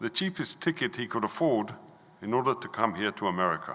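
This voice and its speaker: Bright, sharp male voice with an English accent, fairly quick, with very wide pitch swings. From London, England. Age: 70s. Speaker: visiting speaker from Israel. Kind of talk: talk at synagogue service. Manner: halting.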